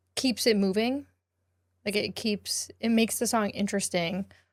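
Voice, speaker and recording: A woman's animated tone at medium pitch. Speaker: music reviewer, livestreamer. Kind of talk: livestream album reaction.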